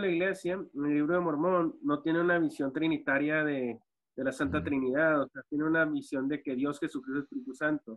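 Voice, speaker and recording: A man speaks fairly quickly at a fairly high pitch. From US-Mexico border, Ciudad Juárez / El Paso; US-Mexico border. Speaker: former church member; podcast guest. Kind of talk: panel discussion. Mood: friendly, smiling. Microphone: video call.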